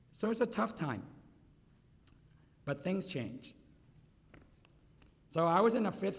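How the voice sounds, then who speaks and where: Somewhat breathy, a man speaks at a fairly slow pace with very wide pitch swings and long, frequent pauses. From Vietnam. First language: Vietnamese and Chinese dialects. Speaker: food company founder and CEO. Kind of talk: award acceptance speech. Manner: conversational, audience-addressing.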